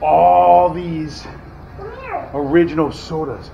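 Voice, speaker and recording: A man is speaking. Noticeable background noise runs beneath his voice. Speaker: family vlogger. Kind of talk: casual vlog chat. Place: shop. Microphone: phone near.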